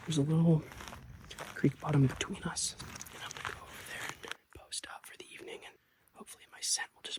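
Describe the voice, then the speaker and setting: A man whispering at a fairly quick pace. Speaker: hunter filming his hunt. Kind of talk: outdoor hunting vlog narration. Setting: outdoors on a mountain.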